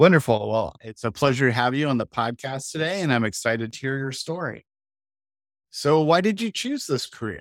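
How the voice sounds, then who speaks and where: A man talks at a fairly quick pace in a normal speaking voice, his pitch medium. His intonation is lively, and the recording is very clean with a silent background. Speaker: podcast host. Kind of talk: interview conversation.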